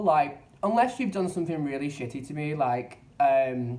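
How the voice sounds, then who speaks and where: The speaker has a London accent and sounds somewhat breathy. The intonation is lively. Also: man. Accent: English (London area). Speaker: vlogger. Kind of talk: casual vlog monologue. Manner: halting, repeats words.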